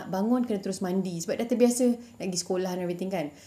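Her tone is dark and mellow. The woman's pitch is in the medium range. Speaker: podcast guest. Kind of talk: casual chat.

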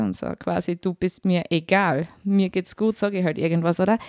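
A woman speaks with a Styrian accent in a very clean recording with a silent background, the sound dry and close with no echo. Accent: Styrian Austrian German. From Austria, Styria. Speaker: social worker. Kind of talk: interview.

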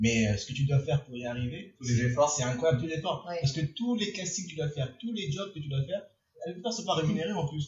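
Lively intonation marks this man's voice. He keeps to a fairly quick pace. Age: 20s. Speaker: podcast host. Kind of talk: casual chat. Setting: bar-themed studio. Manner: animated.

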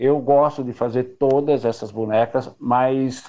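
The man speaks at a very slow pace. His medium-pitched voice is monotone, with flat intonation. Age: 60s. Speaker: craftsman. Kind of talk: interview. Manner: halting.

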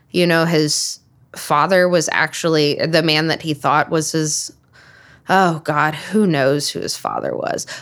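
A woman's fairly low, monotone voice, flat in intonation, at a fairly slow pace. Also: very clean recording, silent background. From Alabama. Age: 30s. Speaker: podcast co-host. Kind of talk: casual chat.

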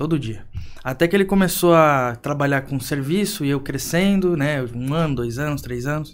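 Using a plain, everyday voice, a man talks at a moderate pace and fairly high pitch, with ordinary pitch variation. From Brazil, São Paulo coast (Praia Grande). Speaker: entrepreneur. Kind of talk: podcast interview.

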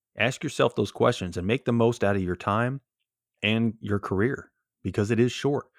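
In a very clean recording with a silent background, a man speaks at a moderate pace with ordinary pitch variation. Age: 40s. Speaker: podcast host and police officer. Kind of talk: solo podcast monologue. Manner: casual, with frequent fillers.

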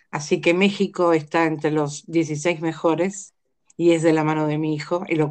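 Speaking at a fairly slow pace, a woman with a very deep, low pitch keeps her intonation fairly even. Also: quiet background. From Argentina. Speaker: life coach and family constellations facilitator. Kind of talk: interview about family constellations.

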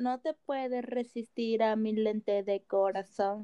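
Her dark, mellow tone and fairly high pitch come at a very slow pace, the woman's sound dry and close with no echo. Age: 20s. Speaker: podcast co-host. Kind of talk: casual chat.

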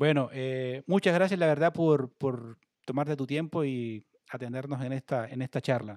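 In a dry, close recording with no echo, a man uses a normal speaking voice at a fairly high pitch, a moderate pace and ordinary pitch variation. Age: 30s. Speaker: online sports show host. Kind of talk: livestream interview. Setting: at home, video call.

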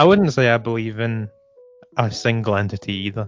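With a North East England accent, a man speaks at a medium pitch. His intonation stays fairly even. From northern England, Durham. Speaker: musician and podcaster. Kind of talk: casual chat.

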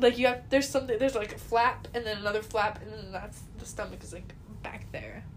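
Noticeable background noise sits behind the recording. Over it, a woman speaks very quickly. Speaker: podcast co-host. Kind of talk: casual chat. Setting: bedroom, recording at home.

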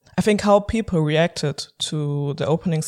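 The speaker talks at a moderate pace with a German accent. The recording is very clean, with a silent background. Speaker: podcast host. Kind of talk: interview.

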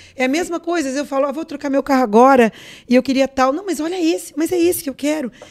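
This woman talks at a very fast pace with a high pitch. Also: ordinary pitch variation. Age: 50s. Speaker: businesswoman and influencer. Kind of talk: casual chat.

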